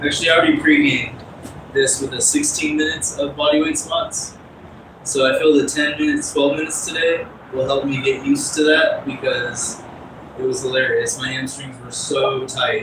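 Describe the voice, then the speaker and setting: With audible room echo and noticeable noise behind him, a man talks at a moderate pace. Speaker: fitness livestreamer. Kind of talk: casual livestream talk while exercising.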